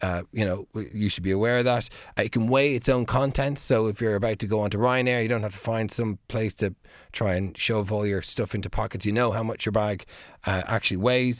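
A man with an Irish accent speaks at a fairly quick pace in a fairly low pitch with fairly even intonation. The recording is very clean, with a silent background. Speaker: technology contributor. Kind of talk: radio chat. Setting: studio. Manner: halting.

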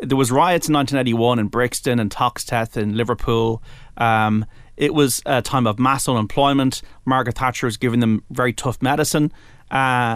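A man with an Irish accent and a medium pitch talks at a fairly quick pace with fairly even intonation. The recording is very clean, with a silent background. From Ireland. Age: 40s. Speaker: sports radio presenter. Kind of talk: casual chat. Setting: studio. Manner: halting.

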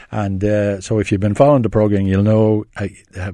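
A man with an Irish accent, a dark, mellow tone and a fairly low pitch, talking at a fairly quick pace against a quiet background. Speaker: film critic. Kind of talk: casual radio chat. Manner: talkative, hesitant with fillers.

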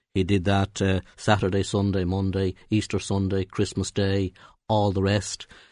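Against a quiet background, a man with a Dublin accent speaks at a fairly low pitch. His intonation is monotone and flat. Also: moderate pace. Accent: Dublin Irish. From Ireland, North County Dublin. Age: 60s. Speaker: trade union leader. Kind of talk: radio interview. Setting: radio studio. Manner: halting, many repetitions and fillers.

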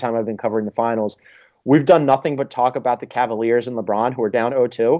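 A man with a Philadelphia accent, speaking at a fairly quick pace. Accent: American, Philadelphia. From Philadelphia, US. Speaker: sports journalist. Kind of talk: radio interview. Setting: phone call.

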